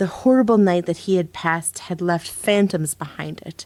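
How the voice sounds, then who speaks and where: A woman talks in a plain, everyday voice, fairly low in pitch, with lively intonation. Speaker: voice actor. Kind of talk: audiobook narration.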